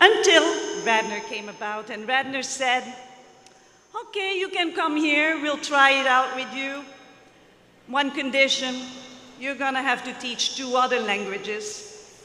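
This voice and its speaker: The speech comes at a fairly slow pace, broken by long, frequent pauses, over noticeable background noise. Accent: Dutch. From Belgium (Flemish). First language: Dutch. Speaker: retiring language teacher. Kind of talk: farewell speech at school assembly.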